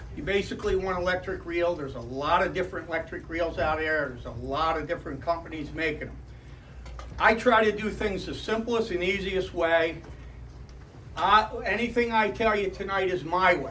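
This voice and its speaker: Against audible room echo, a man talks at a moderate pace in a high pitch with ordinary pitch variation. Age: 60s. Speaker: retired charter boat captain. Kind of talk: club talk. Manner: casual. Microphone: no microphone.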